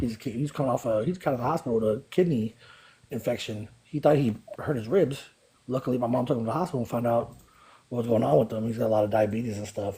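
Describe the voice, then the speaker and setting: This man has an American accent, a medium pitch, a dark, mellow tone that is somewhat breathy, ordinary pitch variation and a very fast pace. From US West Coast, East Oakland, California. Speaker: participant in live group talk. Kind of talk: casual chat.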